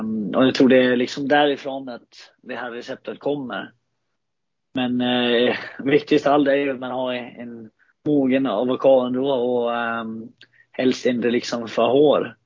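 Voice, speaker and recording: A man with a Danish accent at medium pitch, fairly slow pace, monotone, flat intonation and big swings in loudness. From Denmark, Frederikshavn. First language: Danish (speaking Swedish). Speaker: ice hockey player. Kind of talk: casual interview. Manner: halting, many fillers.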